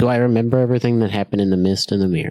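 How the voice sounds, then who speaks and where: A man talks in a put-on character voice at a very fast pace, his pitch medium and his intonation fairly even. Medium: actual play.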